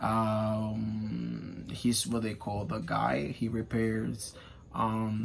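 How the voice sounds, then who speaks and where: A man speaks in a room with audible echo, and noticeable background noise runs underneath. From Dominican Republic, Santiago. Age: 30s. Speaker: education student. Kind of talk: class presentation. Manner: halting, many fillers.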